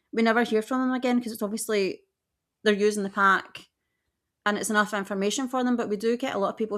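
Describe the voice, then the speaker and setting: A woman speaks at a medium pitch with a Scottish accent and fairly even intonation. The recording is very clean, with a silent background. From west coast of Scotland. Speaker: podcast co-host, theme park trip planner. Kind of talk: casual chat.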